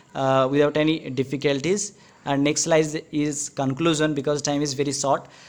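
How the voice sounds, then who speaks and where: A man speaks in a fairly high pitch. His intonation is monotone and flat. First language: not English. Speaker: student speaker at exam prep session. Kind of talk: talk with slides. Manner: halting, many fillers.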